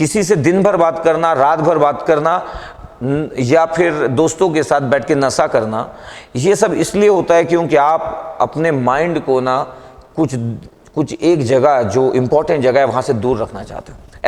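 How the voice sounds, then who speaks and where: Over noticeable background noise, a man with a fairly high voice speaks with ordinary pitch variation. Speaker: motivational speaker and teacher. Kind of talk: motivational talk to camera.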